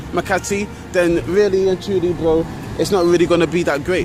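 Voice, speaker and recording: A man with a high pitch, fairly even intonation and a fairly quick pace, over noticeable background noise. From London, England. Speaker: travel vlogger. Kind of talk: walking vlog narration. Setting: outdoors, walking city streets. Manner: casual, rambling street talk.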